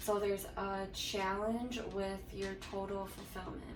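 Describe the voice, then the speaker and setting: Noticeable background noise and audible room echo surround a woman speaking at medium pitch. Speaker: tarot reader. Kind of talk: tarot reading. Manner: halting, many fillers.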